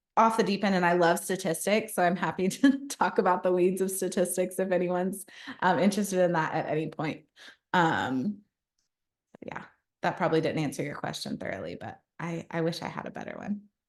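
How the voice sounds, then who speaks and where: A woman with a plain, everyday voice speaks at a fairly quick pace, her medium pitch showing ordinary pitch variation. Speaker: social work researcher and presenter. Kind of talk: continuing education lecture.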